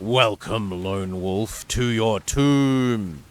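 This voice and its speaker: A man's loud, booming put-on character voice at medium pitch. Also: ordinary pitch variation. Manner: menacing, gloating.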